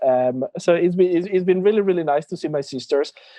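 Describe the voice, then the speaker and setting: A Spanish accent with ordinary pitch variation. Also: man. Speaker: drag queen. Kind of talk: interview. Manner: halting.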